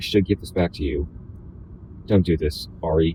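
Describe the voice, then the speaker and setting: Vocal fry marks a man's voice as he speaks at a fairly quick pace with ordinary pitch variation. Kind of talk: read novel pages.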